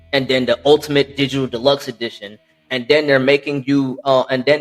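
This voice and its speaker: Fairly even intonation runs through talking at a fairly quick pace. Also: man. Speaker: gaming podcast host. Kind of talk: casual chat. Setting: at home. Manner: fast; halting.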